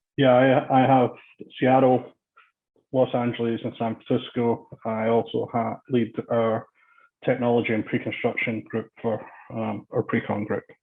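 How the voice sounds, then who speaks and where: Long, frequent pauses break up a man's monotone, flat speech, delivered at a medium pitch in a Scottish accent. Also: moderate pace. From Scotland, Glasgow area. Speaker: construction executive. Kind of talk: interview.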